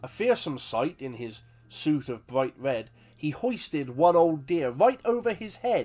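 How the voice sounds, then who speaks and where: Very wide pitch swings at a very slow pace, with music in the background. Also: man. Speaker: author reading his own poem. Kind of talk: humorous poetry reading.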